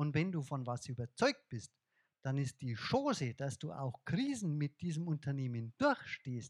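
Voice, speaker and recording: With a slight Bavarian accent, a man swings his pitch very widely, recorded dry and close with no echo, very cleanly against a silent background. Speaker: investor and speaker. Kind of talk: lecture. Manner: animated.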